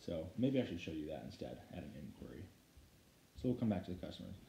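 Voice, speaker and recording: A man talks at a very fast pace in a very deep, low voice with vocal fry and a dark, mellow tone. Light background noise and audible room echo are present. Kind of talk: tutorial. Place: home room. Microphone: phone near.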